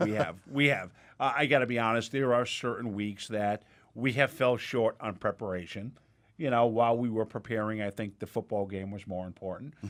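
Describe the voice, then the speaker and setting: A man at medium pitch with ordinary pitch variation and a fairly quick pace. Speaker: podcast host and media company executive. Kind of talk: casual chat. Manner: frequent filler 'uh'.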